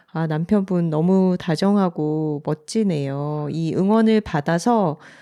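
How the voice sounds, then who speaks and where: A woman with a fairly low, dark, mellow voice and ordinary pitch variation speaks very slowly, the sound dry and close with no echo on a very clean recording with a silent background. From South Korea, Busan. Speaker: podcast co-host and writer. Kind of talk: casual chat.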